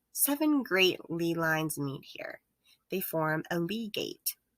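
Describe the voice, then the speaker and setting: A put-on character voice, female-sounding, medium in pitch and fairly slow in pace. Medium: read story. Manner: flat, matter-of-fact.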